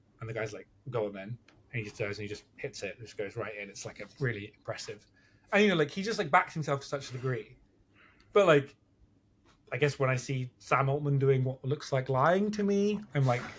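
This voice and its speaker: A man with a British accent mumbles at a fairly quick pace, somewhat breathy and fairly high in pitch. His pitch swings very widely and his loudness swings in big ways. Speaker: podcast guest. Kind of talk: casual chat. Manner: mumbling.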